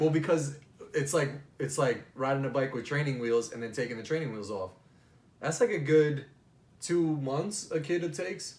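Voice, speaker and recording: An animated man with an American accent talks at a moderate pace and a fairly high pitch, somewhat breathy, with ordinary pitch variation, long, frequent pauses and audible room echo. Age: 30s. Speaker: podcast host. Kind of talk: casual chat.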